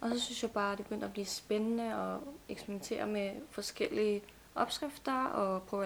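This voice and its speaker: A woman with an unremarkable speaking voice talks at a moderate pace, her medium pitch showing ordinary variation. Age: 20s. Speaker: nutrition student. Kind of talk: casual chat. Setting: studio.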